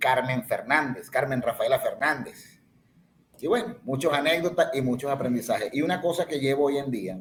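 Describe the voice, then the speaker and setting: A man's somewhat breathy voice, with lively intonation, at a moderate pace. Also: fairly high pitch for a man. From Venezuela, Ciudad Bolívar. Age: 50s. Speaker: podcast guest. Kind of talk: casual chat.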